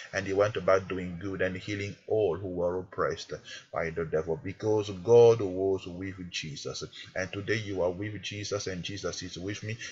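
There's a man speaking at a moderate pace with a fairly low, somewhat breathy voice. His intonation stays fairly even. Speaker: prayer minister. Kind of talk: fervent prayer. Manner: emphatic, commanding; earnest, urgent.

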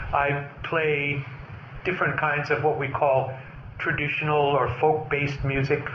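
Over noticeable background noise, a man speaks fairly slowly at a fairly high pitch with monotone, flat intonation. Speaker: Zen Buddhist priest and teacher. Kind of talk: dharma talk. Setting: stage with audience. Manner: soft-spoken.

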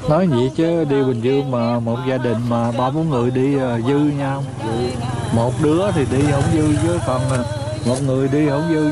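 Speech at a fairly slow pace comes over clear background music, the sound dry with no echo. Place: waterside. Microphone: phone near.

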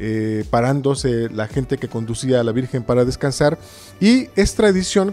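Faint music plays in the background. A man speaks over it at a moderate pace. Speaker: interview guest. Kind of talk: interview answer. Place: church. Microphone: handheld.

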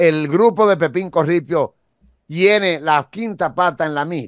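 A man speaks at a very slow pace in a high pitch with ordinary pitch variation. The sound is dry with no echo, over a quiet background. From Dominican Republic. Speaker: detective and media commentator; political commentator, host. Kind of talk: interview. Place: studio. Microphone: studio mic.

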